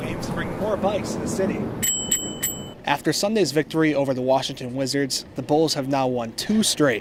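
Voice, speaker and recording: The voice is energetic, moving at a fairly quick pace with very wide pitch swings. Noticeable background noise runs underneath. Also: man. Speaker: broadcast journalism student and reporter. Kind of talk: TV news reporter package and anchor read. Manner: polished, energetic broadcast delivery.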